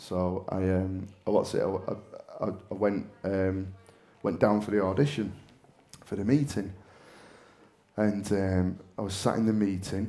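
A man in a Mancunian accent, very slow pace, fairly even intonation, and a dark, mellow tone, with audible room echo. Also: fairly low pitch for a man. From northern England, Manchester. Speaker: actor. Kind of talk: on-stage interview. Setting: stage with audience. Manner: loud.

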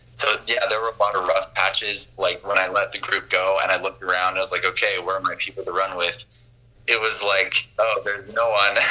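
There is noticeable background noise here. Through it, a man with an American accent speaks at a fairly quick pace. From Utah, US. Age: 20s. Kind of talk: casual interview. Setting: video call.

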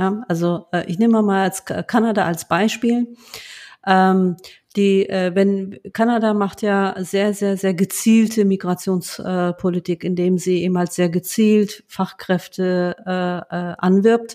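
A woman talks at a very slow pace in a medium pitch with a dark, mellow tone. Her intonation stays monotone and flat. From Germany, Lower Rhine (Duisburg, Rheinberg). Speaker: bank executive. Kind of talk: interview conversation. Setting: home office, remote call. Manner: many hesitations (ähm).

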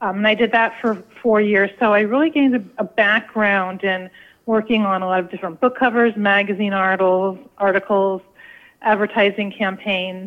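A woman with an American accent and a plain, everyday voice, medium in pitch, at a moderate pace with fairly even intonation. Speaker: food photographer and author. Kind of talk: radio interview.

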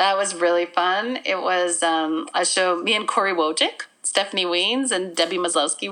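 A woman with a Canadian Prairie accent and medium pitch speaks at a moderate pace with very even loudness, ordinary pitch variation and hardly any pauses. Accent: Canadian English (Prairies). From Manitoba, Canada. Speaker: actor, playwright and comedian. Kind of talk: casual interview. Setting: remote call from home.

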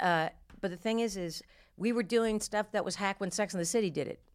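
An unremarkable speaking voice from a woman with an American accent, medium pitch, ordinary pitch variation and a fairly quick pace, in a very clean recording with a silent background. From New Jersey. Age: 50s. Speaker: comedian. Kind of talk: casual chat. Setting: studio.

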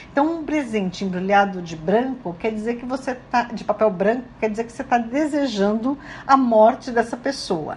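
With hardly any pauses, a woman with a fairly high pitch speaks in an ordinary speaking voice, showing ordinary pitch variation and big swings in loudness. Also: moderate pace. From Brazil. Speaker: radio host. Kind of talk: radio talk. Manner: casual, conversational.

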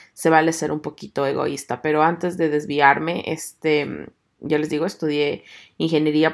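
A woman with a very deep, low pitch speaks at a moderate pace with fairly even intonation in a very clean recording with a silent background. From Ecuador. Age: 30s. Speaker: podcaster. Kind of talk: casual monologue.

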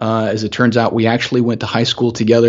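The speaker is a man. He talks in a medium register. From US South, Augusta, Georgia. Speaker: security software company CEO. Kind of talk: casual interview.

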